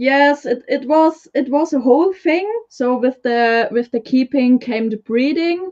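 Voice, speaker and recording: A woman with a German accent speaks at a high pitch with ordinary pitch variation. Her pace is fairly slow, with hardly any pauses. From Germany. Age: 20s. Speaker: leopard gecko breeder. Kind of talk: casual interview chat. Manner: halting.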